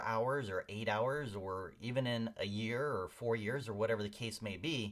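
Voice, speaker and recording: Fairly even in intonation, an unremarkable speaking voice from a man moves at a moderate pace. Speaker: software instructor. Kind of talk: tutorial.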